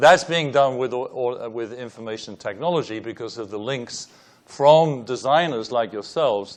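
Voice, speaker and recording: Here a man speaks at a medium pitch with a British accent and ordinary pitch variation. His loudness swings a lot. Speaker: engineering professor, panelist. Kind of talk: panel presentation with slides.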